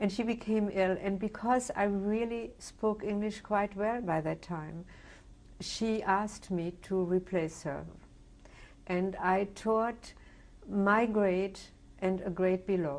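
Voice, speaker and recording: Fairly even in intonation, a woman with a German accent speaks at a very slow pace. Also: medium pitch for a woman. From Germany. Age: 70s. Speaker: Holocaust survivor. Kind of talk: oral history interview. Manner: halting, many fillers.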